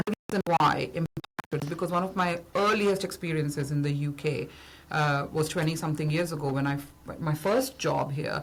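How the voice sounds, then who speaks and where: A woman's very deep, low-pitched, somewhat breathy voice. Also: ordinary pitch variation, moderate pace. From India. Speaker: business founder and consultant. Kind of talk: podcast interview.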